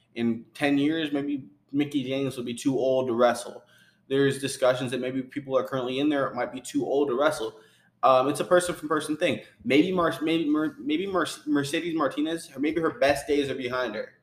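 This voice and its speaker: A man with a normal speaking voice talks at a fairly quick pace, his pitch fairly high and his intonation fairly even. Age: 40s. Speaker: wrestling podcast co-host. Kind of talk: casual chat.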